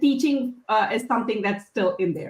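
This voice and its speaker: Raised and projected, a woman's bright, sharp voice with a non-native accent makes very wide pitch swings. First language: not English. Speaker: software engineer and tech speaker. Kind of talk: casual chat. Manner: halting, frequent restarts.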